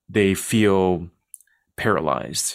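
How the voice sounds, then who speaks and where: A man talks in a normal speaking voice, fairly low in pitch with fairly even intonation. The recording is very clean, with a silent background. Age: 40s. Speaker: podcast co-host, ministry director. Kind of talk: interview; scripted outro.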